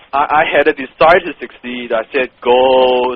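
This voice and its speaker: Fairly even intonation from a man at a medium pitch and moderate pace, with noticeable background noise. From Hong Kong. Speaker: copywriter, business owner. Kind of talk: interview. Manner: blunt, direct.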